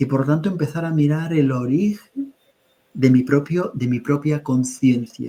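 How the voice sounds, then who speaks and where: This man's voice is fairly high in pitch, with a dark, mellow tone and a somewhat breathy quality. He talks at a fairly slow pace with ordinary pitch variation. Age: 60s. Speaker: spiritual teacher. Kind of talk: webinar conversation. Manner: halting.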